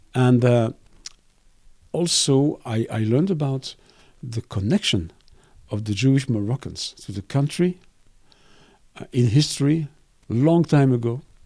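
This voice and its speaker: A man with a French accent speaks at a medium pitch in a dark, mellow tone with ordinary pitch variation. He moves at a fairly slow pace with long, frequent pauses. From Belgium. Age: 60s. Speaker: cartoonist and art professor. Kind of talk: interview. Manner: halting, with frequent repetitions.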